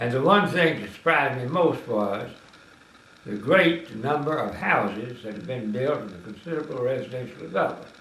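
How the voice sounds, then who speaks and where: At a moderate pace, a man with a Tennessee accent speaks at medium pitch with lively intonation and big swings in loudness. Audible room echo and noticeable background noise fill the recording. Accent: Southern US (Tennessee). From US South, west Tennessee. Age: 80s+. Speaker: retired politician. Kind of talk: interview.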